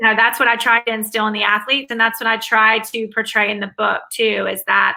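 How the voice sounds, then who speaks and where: A woman talks with a Southern US accent. Her pitch is fairly high. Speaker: academic advisor and author. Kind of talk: interview.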